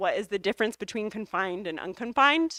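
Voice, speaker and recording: A woman with an American accent in an unremarkable speaking voice, fairly high-pitched with ordinary pitch variation, on a very clean, dry, close recording with a silent background and no echo. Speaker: hydrogeology researcher and professor. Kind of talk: lecture Q&A.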